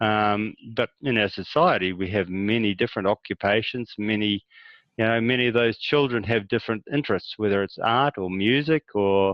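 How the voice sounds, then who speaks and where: Speaking in a New Zealand accent, a man uses a fairly low pitch with ordinary variation at a moderate pace. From rural New Zealand. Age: 60s. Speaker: farmer. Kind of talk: interview.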